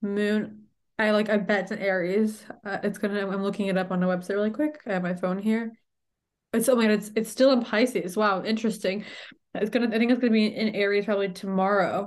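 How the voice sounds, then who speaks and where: A woman speaks at a very fast pace in an animated tone. Her pitch is medium. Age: 20s. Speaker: podcast host and spiritual coach. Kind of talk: casual solo monologue. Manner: animated, filler-heavy.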